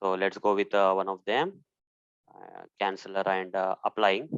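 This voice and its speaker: Against a quiet background, a man with a Telugu accent talks at a fairly low pitch, the sound dry and close with no echo. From India. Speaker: software testing instructor. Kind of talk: tutorial. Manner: hesitant, many fillers.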